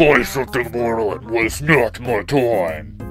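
A man does a loud, robotic put-on character voice at a medium pitch and a fairly slow pace. Clear music plays in the background. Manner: commanding, contemptuous.

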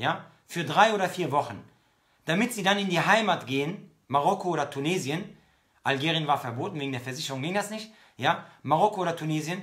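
Against a quiet background, the speech moves at a fairly quick pace with ordinary pitch variation. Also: man, high pitch for a man. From Germany, Bonn/Cologne area, Moroccan/Algerian roots; Germany. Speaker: Islamic preacher; speaker. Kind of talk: religious lecture. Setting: online livestream. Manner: hesitant, many fillers. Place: home room. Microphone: phone near.

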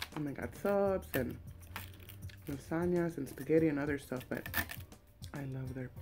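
A woman's very deep, low voice with clear music in the background. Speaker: food vlogger. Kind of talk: casual vlog chat. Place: home room. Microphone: webcam.

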